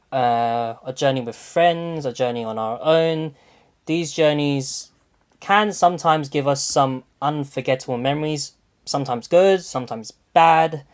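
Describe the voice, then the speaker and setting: A man at a fairly high pitch and moderate pace, on a very clean recording with a silent background. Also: ordinary pitch variation. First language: not English. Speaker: podcast host. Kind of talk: casual chat. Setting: call.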